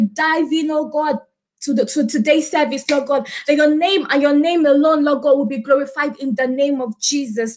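Over light background noise, a woman with a high voice speaks at a moderate pace with fairly even intonation. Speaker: service leader. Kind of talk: opening worship and prayer. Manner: fervent. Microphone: webcam.

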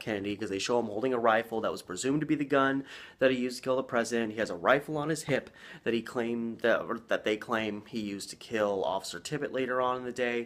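A man rushes along at a very fast pace. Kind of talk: casual vlog commentary. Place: home room. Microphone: phone near.

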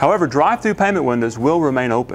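Very fast speech with very wide pitch swings plays over light background noise. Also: man. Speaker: company spokesperson. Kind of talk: informational presentation. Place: hall. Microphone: lapel.

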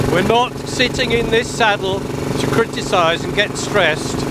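A man talks at a very slow pace. Loud background noise fills the dry sound, which has no echo. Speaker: motorbike vlogger. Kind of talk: casual vlog chat. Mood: wry, mildly annoyed at drivers. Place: motorbike. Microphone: helmet.

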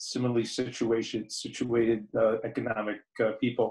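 The voice belongs to a man and is somewhat breathy. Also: quiet background. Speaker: audience member. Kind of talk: audience question. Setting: video call. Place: home room. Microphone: video call.

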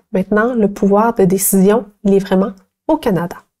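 Against a quiet background, a woman speaks at a medium pitch in a dark, mellow tone with ordinary pitch variation. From Quebec. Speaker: teacher; presenter. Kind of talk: educational tutorial; lecture. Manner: halting, with many fillers. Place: studio. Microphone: lapel.

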